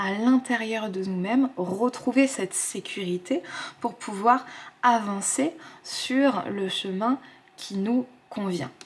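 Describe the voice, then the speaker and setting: A woman talks at a very slow pace in a fairly high pitch with ordinary pitch variation. Noticeable background noise sits behind her. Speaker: tarot card reader. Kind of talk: tarot guidance reading to camera. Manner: soft, whispered.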